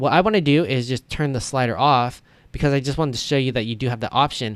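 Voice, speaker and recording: A man's pitch varies in an ordinary way, captured in a very clean recording with a silent background. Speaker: web design tutorial creator. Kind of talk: tutorial. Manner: fast; casual, conversational.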